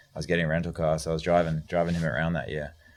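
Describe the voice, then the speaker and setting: Very deep and low in pitch, a man speaks very fast with vocal fry and fairly even intonation. The recording is very clean, with a silent background. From Australia, Brisbane. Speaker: pro BMX rider and team manager. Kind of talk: podcast interview. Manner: casual, laid-back.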